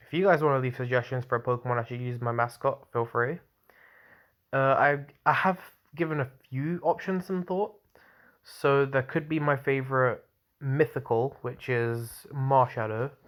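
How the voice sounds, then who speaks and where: The recording is very clean, with a silent background. A man speaks at a medium pitch and moderate pace, leaving long, frequent pauses. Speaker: gaming YouTuber. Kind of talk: casual vlog talk to camera. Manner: monotone.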